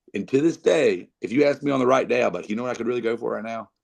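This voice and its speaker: A man with an American accent, medium pitch and ordinary pitch variation, at a very fast pace. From North Carolina (Reidsville), US South. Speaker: country band frontman and songwriter. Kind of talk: podcast interview. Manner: animated, with frequent repetitions.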